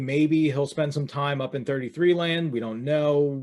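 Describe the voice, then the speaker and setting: A man's fairly high voice in a Philadelphia accent at a fairly quick pace, in a very clean recording with a silent background. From Philadelphia area, Delaware County. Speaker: fantasy wrestling podcast host. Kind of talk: casual podcast chat.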